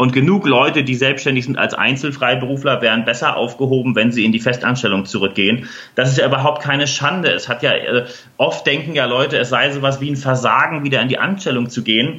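A man talks very fast, with ordinary pitch variation. There is noticeable background noise. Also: medium pitch for a man. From Hamburg, northern Germany. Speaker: leadership trainer. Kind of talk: interview.

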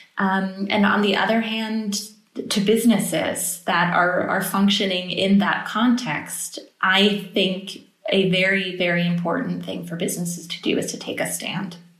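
A woman with an American accent speaks at a medium pitch with fairly even intonation. Her fairly slow speech carries an audible room echo. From United States. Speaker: political advisor. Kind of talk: podcast interview.

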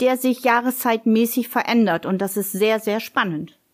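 A woman talks with ordinary pitch variation in a plain, everyday voice. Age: 50s. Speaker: office clerk. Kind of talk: casual interview.

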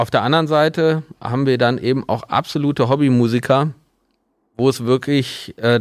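A plain, everyday voice at a fairly slow pace, fairly even in intonation, in a very clean recording with a silent background. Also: man. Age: 40s. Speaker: mastering studio owner. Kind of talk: casual interview.

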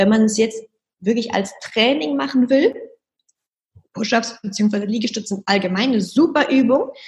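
A woman speaks at a fairly slow pace with long, frequent pauses. Her somewhat breathy voice is fairly high in pitch, with lively intonation. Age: 20s. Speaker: fitness trainer. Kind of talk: interview with exercise instructions.

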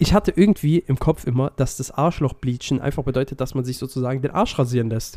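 A man speaks at a very fast pace in a dark, mellow tone at medium pitch, on a very clean recording with a silent background and a dry, close sound with no echo. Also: ordinary pitch variation. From Swabia, southwestern Germany. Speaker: podcast co-host. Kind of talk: casual chat.

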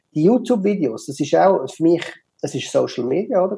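A man speaks with a Swiss German accent. His pace is moderate. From Switzerland. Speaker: digital marketer, office furniture expert. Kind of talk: interview. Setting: video call. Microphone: poor Zoom audio quality.

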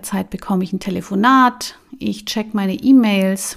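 A woman has a plain, everyday voice at a medium pitch, with ordinary pitch variation and a fairly slow pace. The recording is very clean, with a silent background. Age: 40s. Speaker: life coach and podcast host. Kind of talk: solo podcast talk.

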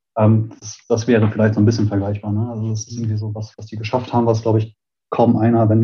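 Quiet and somewhat breathy, a man talks at a very fast pace and a medium pitch. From Germany, Münster (Westphalia). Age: 30s. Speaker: smart city association founder. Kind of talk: interview. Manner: calm, quiet; halting, many fillers.

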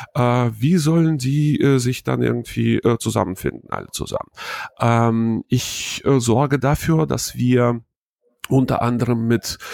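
Recorded with a dry, close sound and no echo, a man speaks at a very slow pace in a medium pitch, with ordinary pitch variation. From Hannover, northern Germany. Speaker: wedding emcee, former radio presenter. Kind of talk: interview.

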